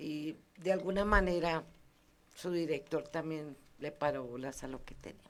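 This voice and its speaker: A woman with a very deep, low pitch talks at a moderate pace with ordinary pitch variation, big swings in loudness, and long, frequent pauses. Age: 70s. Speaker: community museum founder, heritage councilor. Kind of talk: radio interview.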